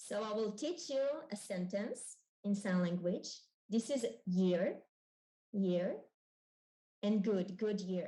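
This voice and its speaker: At a very slow pace with long, frequent pauses, a woman speaks at a medium pitch in a dark, mellow, somewhat breathy voice. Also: ordinary pitch variation. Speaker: member of parliament. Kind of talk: panel presentation.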